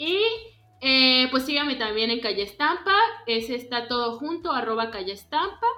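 Loud and animated, a woman talks at a moderate pace in a high pitch with lively intonation. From Mexico, Yucatán. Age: 20s. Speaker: visual artist, painter and printmaker. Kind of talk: casual chat.

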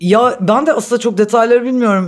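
Using ordinary pitch variation, a woman speaks at a moderate pace. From Istanbul, Turkey. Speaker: guest. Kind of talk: casual chat.

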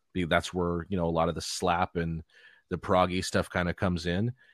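An American accent from a man with a very deep, low pitch, dry and close with no echo, on a very clean recording with a silent background. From Los Angeles, California. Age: 30s. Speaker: rock bassist and podcast host. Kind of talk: casual interview chat.

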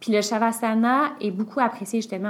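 A woman with an ordinary speaking voice talks at a moderate pace. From Quebec, Sherbrooke area. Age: 20s. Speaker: yoga teacher. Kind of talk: casual chat.

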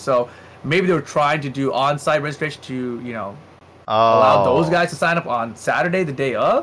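A man talks at a fairly quick pace in a fairly high pitch, with ordinary pitch variation. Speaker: fighting game commentator, podcast co-host. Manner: fast talker.

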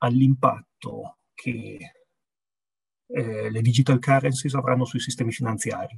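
Man with a medium pitch, somewhat breathy and fairly slow, in a dry, close sound with no echo. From Piedmont, Italy. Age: 40s. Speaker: business executive. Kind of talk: interview.

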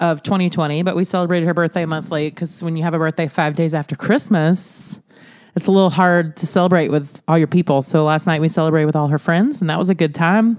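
A woman talks at a very fast pace. Her voice sits fairly low, with fairly even intonation. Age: 30s. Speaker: family podcast co-host, mother. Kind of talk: casual family chat.

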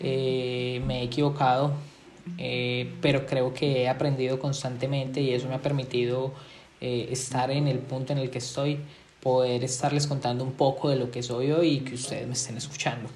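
Monotone, flat intonation at a moderate pace with audible room echo. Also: man, medium pitch for a man. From Colombia. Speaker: podcast host, entrepreneur and marketer. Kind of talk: solo podcast monologue.

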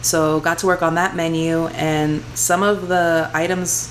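A woman with an American accent talks at a fairly low pitch. Noticeable background noise runs underneath. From Houston, Texas. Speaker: chef. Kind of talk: casual chat.

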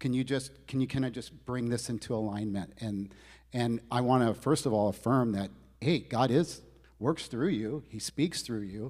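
Very cleanly recorded with a silent background, a man talks at a moderate pace. His pitch is medium, with ordinary variation. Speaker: pastor. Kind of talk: announcements and encouragement to a congregation. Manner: hesitant, conversational.

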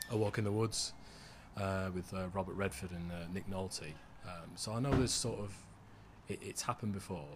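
The speech moves at a moderate pace with fairly even intonation and a somewhat breathy quality. Long, frequent pauses break it up. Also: man, very deep, low pitch for a man. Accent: Mancunian. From Manchester, northern England. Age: 30s. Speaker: author. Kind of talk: casual chat.

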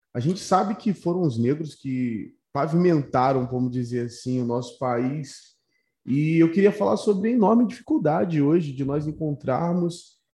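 A man's fairly high, somewhat breathy voice with a dark, mellow tone and lively intonation. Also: moderate pace. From Rio de Janeiro, Brazil. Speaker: podcast host. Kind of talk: casual interview.

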